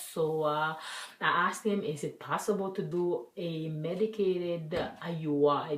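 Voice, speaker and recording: A woman with a French accent speaks at a very deep, low pitch with fairly even intonation. Audible room echo and noticeable background noise fill the recording. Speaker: vlogger. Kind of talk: personal vlog.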